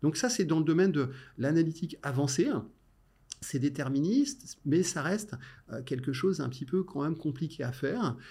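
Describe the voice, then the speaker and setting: At a moderate pace, a man speaks with a fairly high pitch, a dark, mellow tone and lively intonation, broken by long, frequent pauses. The recording is very clean with a silent background. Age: 50s. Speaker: tech innovation director. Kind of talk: interview.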